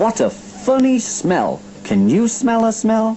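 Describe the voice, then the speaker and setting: A man's put-on character voice, high in pitch, at a fairly slow pace over clear background noise. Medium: read story.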